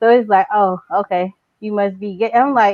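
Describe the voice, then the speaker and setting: A woman's fairly high-pitched voice with ordinary pitch variation. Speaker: podcast guest. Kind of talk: casual chat. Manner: louder than usual.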